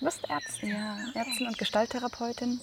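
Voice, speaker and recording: A woman with a fairly high pitch and ordinary pitch variation talks at a moderate pace against noticeable background noise. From Munich, Bavaria. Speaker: doctor and festival participant. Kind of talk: casual interview.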